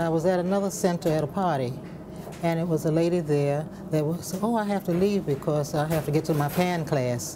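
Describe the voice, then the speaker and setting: Noticeable background noise sits behind a woman with a fairly low pitch and ordinary pitch variation. She talks at a fairly quick pace with very even loudness. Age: 80s+. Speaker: senior steel pan band member. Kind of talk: interview testimony.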